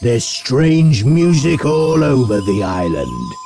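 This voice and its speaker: Clear music plays behind a man using a put-on character voice. He speaks at a medium pitch and a fairly slow pace. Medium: read story. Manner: sulky, grudging.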